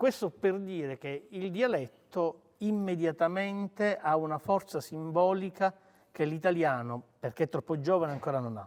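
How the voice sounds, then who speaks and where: The voice belongs to a man, pitched high. He keeps a moderate pace with lively intonation. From Sicily, Palermo. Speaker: writer. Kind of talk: talk with interpreter at book event.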